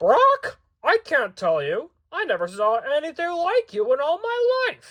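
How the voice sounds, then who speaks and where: In a put-on character voice, a man projects loudly at an extremely high pitch, swinging very widely up and down. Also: moderate pace. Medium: read story. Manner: saucy, squawking.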